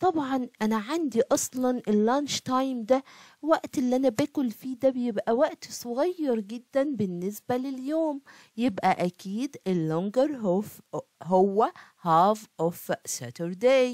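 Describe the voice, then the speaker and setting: This woman has a high-pitched voice and an Egyptian accent. The sound is dry and close, with no echo. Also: lively intonation, fairly slow pace. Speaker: primary school math teacher. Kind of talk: tutorial. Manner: animated.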